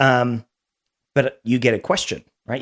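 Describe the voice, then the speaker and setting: The recording is very clean, with a silent background and a dry, close sound free of echo. On it, a man talks in an Australian accent. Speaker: beverage company founder. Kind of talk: casual chat.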